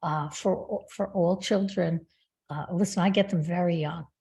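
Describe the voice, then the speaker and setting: Her dark, mellow voice is medium in pitch and somewhat breathy. The woman speaks at a moderate pace with ordinary pitch variation. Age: 70s. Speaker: spiritual healer and author. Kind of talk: interview.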